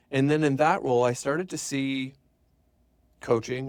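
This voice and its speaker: A man talks at a very fast pace. His pitch moves by an ordinary amount. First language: French. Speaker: business coach. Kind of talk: podcast interview. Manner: casual, conversational.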